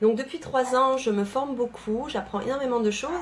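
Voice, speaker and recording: Over noticeable background noise, a woman speaks in a high pitch with ordinary pitch variation. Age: 30s. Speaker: network marketing coach. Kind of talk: live video talk to followers. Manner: fast.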